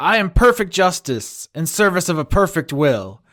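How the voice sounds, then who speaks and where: A man performs a put-on character voice at a high pitch. The pace is moderate, and the recording is very clean with a silent background. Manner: solemn, authoritative, declarative.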